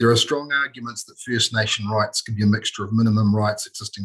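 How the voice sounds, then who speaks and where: A man speaks at a very fast pace in a fairly low pitch. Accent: New Zealand. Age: 60s. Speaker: consultant making a public submission. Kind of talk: formal submission to a parliamentary committee. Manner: formal, with hesitations.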